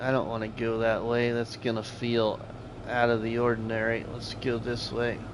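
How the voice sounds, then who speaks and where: A man's medium-pitched, monotone, flat delivery at a moderate pace, with noticeable background noise and audible room echo. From US Midwest (Iowa/Nebraska). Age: 40s. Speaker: gaming streamer. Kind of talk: live gameplay stream chatting with viewers. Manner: casual, conversational.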